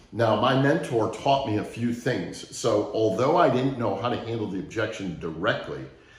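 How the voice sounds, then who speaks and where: A man speaks at a medium pitch with hardly any pauses. Noticeable background noise and audible room echo are present. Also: ordinary pitch variation, moderate pace. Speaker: sales trainer. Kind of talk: training talk with story.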